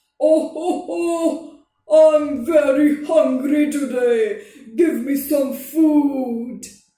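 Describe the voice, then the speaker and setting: A put-on character voice speaks in a high pitch at a very slow pace. There is slight echo. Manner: jolly, laughing.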